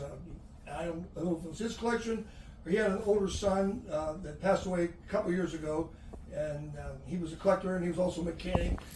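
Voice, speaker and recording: A man with a high voice talks very fast amid noticeable background noise and audible room echo. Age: 70s. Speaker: sports referee and umpire. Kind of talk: casual chat.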